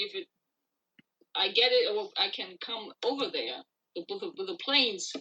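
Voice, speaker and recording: A woman's bright, sharp tone, very wide pitch swings and a moderate pace. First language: not English. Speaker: singer-songwriter. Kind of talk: interview.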